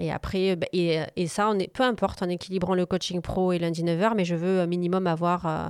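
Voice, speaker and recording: A woman speaks at a moderate pace with very even loudness. Her intonation is monotone and flat. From southern France, Montpellier. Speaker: business coach and consultant. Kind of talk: interview conversation. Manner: hesitant, many fillers.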